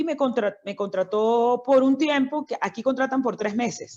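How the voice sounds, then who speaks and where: A woman's voice with ordinary pitch variation. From Venezuela, Miranda state (Barlovento). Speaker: doctor. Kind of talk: interview.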